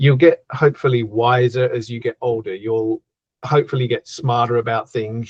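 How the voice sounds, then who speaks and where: A man talks at a fairly quick pace with an Australian accent, his voice somewhat breathy and his intonation fairly even. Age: 50s. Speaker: horror author. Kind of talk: casual interview chat.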